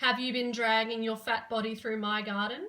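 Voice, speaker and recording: A fairly high-pitched woman with an Australian accent, bright and sharp in tone, at a fairly slow pace with fairly even intonation. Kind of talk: children's story reading.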